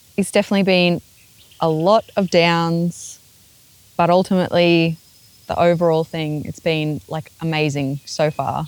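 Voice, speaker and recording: A woman with an Australian accent talks at a fairly slow pace in a fairly low voice, her intonation fairly even. Her long, frequent pauses sit in a dry, close sound with no echo. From Australia, Queensland. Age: 30s. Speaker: interviewee. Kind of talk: interview.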